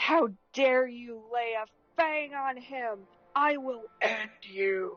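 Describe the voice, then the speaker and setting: Her female-sounding voice, a put-on character voice, growls at a high pitch and a very slow pace. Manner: growling, menacing.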